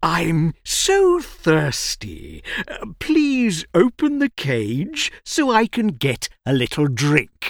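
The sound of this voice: Using a put-on character voice with vocal fry, a woman speaks at a very slow pace, her low pitch making very wide swings. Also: few pauses, very clean recording, silent background.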